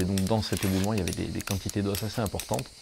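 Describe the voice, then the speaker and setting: A man's voice with noticeable background noise. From southern France, Hérault. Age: 20s. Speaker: amateur fossil excavator. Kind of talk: documentary interview. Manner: hesitant, many fillers.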